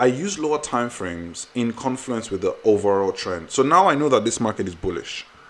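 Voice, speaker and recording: A man talks at a fairly quick pace with hardly any pauses, his pitch swinging very widely. Noticeable background noise sits behind him. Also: medium pitch for a man. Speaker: trading educator. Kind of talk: tutorial. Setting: screen recording. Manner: fast.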